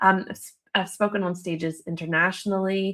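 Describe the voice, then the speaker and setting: Delivered at a moderate pace with an American accent, the speech sits on a very clean recording with a silent background. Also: woman. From United States. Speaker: relationship counselor. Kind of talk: live video talk. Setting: live video stream.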